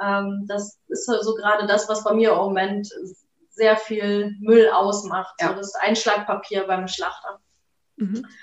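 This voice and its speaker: A woman's monotone, flat intonation at a fairly slow pace. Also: medium pitch for a woman. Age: 30s. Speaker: shop owner. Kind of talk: interview.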